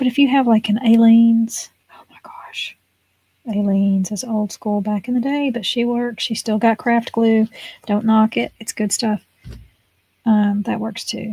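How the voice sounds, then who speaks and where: A woman's voice sits at a fairly high pitch. It sounds somewhat breathy. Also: fairly even intonation. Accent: American. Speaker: craft video creator. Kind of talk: crafting tutorial. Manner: whispering at times.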